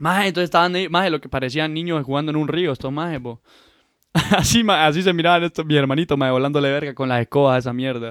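A man with a fairly high pitch speaks in an animated tone at a very fast pace, with ordinary pitch variation. The recording is very clean, with a silent background. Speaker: podcast co-host. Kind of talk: casual chat.

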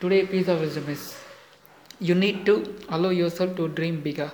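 Against noticeable background noise, a man with a non-native accent talks at a moderate pace in a high pitch with fairly even intonation. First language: not English. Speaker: motivational podcaster. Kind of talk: motivational monologue. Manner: halting, many fillers.

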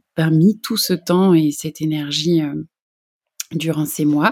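A woman's very deep, low voice has a dark, mellow tone, moving at a very slow pace with fairly even intonation on a very clean recording with a silent background. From France, Jura. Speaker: podcast host, personal development coach. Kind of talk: personal monologue. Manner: hesitant with many fillers.

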